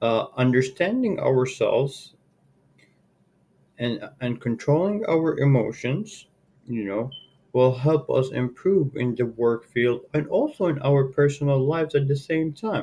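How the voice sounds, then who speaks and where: The tone is dark and mellow, somewhat breathy. Delivery comes at a fairly slow pace with ordinary pitch variation. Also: man, fairly high pitch for a man. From Saudi Arabia. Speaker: sales and marketing manager. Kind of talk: workplace presentation. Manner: hesitant, many fillers.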